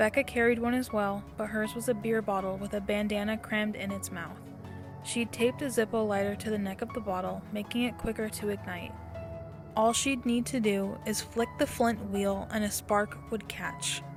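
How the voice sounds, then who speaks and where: A woman's voice at a moderate pace, with music playing in the background. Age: young. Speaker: storyteller. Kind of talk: reading aloud.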